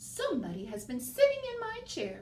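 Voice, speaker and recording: Growling in a put-on character voice, a woman speaks at a moderate pace over clear background noise. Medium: read story.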